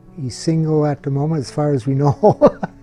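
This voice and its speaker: With music in the background, a man speaks at a fairly high pitch in an American accent. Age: 60s. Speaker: family member. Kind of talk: family video interview.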